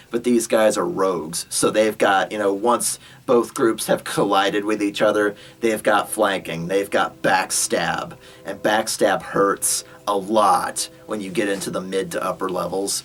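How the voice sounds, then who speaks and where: A man puts on a raspy character voice, fairly low in pitch. He speaks at a moderate pace with music in the background. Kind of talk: casual anecdote retelling. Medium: solo performance. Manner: rambling, filler-heavy, laughing.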